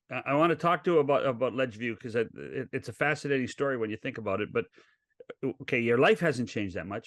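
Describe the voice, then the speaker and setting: In a Canadian accent, a man with a medium pitch speaks at a very fast pace with lively intonation and vocal fry, recorded dry and close with no echo. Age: 60s. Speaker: podcast host. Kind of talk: interview.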